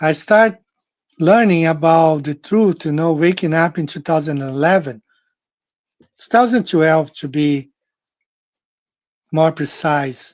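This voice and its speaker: A man with a fairly high pitch speaks very slowly with long, frequent pauses, big swings in loudness and ordinary pitch variation against a quiet background. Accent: Portuguese. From Brazil. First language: Portuguese. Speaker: podcast host. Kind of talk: casual monologue. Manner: halting.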